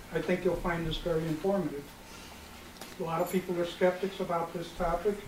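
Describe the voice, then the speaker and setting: Noticeable background noise is present. A man with a high pitch talks at a moderate pace. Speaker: presenter. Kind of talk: informal talk to audience. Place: hall. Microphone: camera far.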